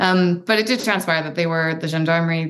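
A woman speaks in an unremarkable speaking voice. Her pitch is fairly low, with ordinary variation. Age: 30s. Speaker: adventure athlete and author. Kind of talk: casual interview conversation. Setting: video call.

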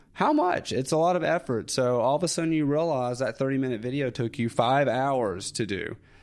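The speaker talks in a Southern US accent at a fairly quick pace with hardly any pauses, very even loudness and ordinary pitch variation, over a quiet background. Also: man, medium pitch for a man. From US South, North Alabama. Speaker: YouTuber. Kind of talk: casual chat.

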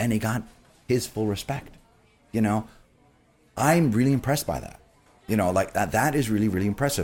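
With a fairly low pitch and ordinary variation, a man speaks at a fairly quick pace broken by long, frequent pauses. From New York City, Queens. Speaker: beverage director. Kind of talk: casual interview.

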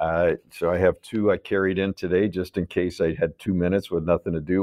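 This man has a very deep, low pitch and a Midwestern American accent. He talks at a fairly quick pace in a monotone, flat intonation. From US Midwest, Chicago. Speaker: restaurant business co-founder. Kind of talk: interview conversation.

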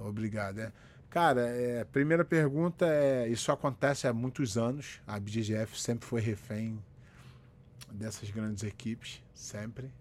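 On a very clean recording with a silent background, the speaker goes at a fairly slow pace with ordinary pitch variation. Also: man, medium pitch for a man. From Rio de Janeiro, Brazil. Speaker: jiu-jitsu instructor and live-stream host. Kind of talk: casual live-stream chat. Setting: solo live video stream. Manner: animated.

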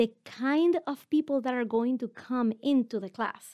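A woman with a strong non-native accent speaks in a dry, close sound with no echo. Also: very clean recording, silent background. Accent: heavily foreign-accented English. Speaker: podcast host and business coach. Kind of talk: solo teaching episode.

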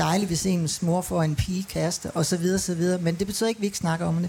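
Speaking at a very fast pace, a woman has a fairly low pitch, a dark, mellow tone, and a somewhat breathy quality. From Denmark. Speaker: manager of a women's centre. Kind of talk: panel discussion. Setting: live broadcast at a city festival.

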